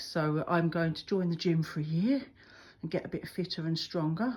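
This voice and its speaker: At a moderate pace, a woman speaks in a normal speaking voice with a fairly low pitch, on a very clean recording with a silent background. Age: 50s. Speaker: photographer and motorcyclist vlogger. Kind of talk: casual vlog. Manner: chatty, informal.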